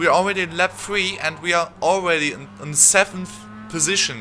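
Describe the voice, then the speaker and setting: A man's voice with music in the background. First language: not English. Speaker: gaming youtuber. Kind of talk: live commentary. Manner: halting.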